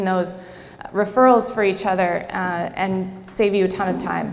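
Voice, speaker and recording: A woman speaks with audible room echo and noticeable background noise behind her. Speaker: networking and marketing coach. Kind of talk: workshop presentation to a live audience.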